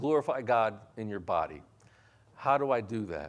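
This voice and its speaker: Against a quiet background, a man talks at a fairly slow pace. His voice carries vocal fry. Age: 60s. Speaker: pastor. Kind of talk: sermon. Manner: halting.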